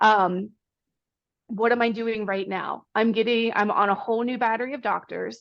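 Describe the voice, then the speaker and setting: An unremarkable speaking voice, a woman with an American accent, fairly high in pitch, at a fairly slow pace against a quiet background. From Pennsylvania, Pittsburgh. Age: 30s. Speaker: runner. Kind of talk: casual chat.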